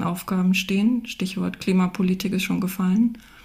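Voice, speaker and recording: A woman's somewhat breathy voice at medium pitch, fairly slow in pace, with fairly even intonation. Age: 50s. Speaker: economist, researcher. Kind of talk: panel discussion. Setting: remote call.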